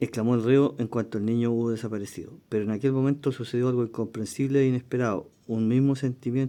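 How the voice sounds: A natural reading voice delivers the words with fairly even intonation.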